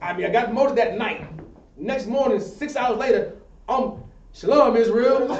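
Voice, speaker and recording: A man with an extremely high pitch speaks at a moderate pace in an animated tone, with ordinary pitch variation and long, frequent pauses. Noticeable background noise and audible room echo are present. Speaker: religious class teacher. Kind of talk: sermon-style class discussion.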